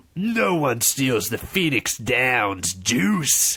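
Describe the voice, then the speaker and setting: A man growling in a put-on character voice, medium in pitch, at a very slow pace. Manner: shouting.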